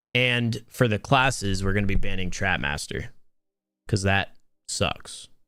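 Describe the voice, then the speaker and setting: Music plays in the background as the male speaker talks at a moderate pace. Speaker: esports stream host and caster. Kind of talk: live commentary. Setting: live stream. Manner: casual, repetitive stammering.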